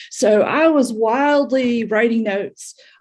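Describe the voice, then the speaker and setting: Her pitch is high for a woman, with fairly even intonation and a fairly slow pace. Noticeable background noise runs under the woman's voice. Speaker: audience member.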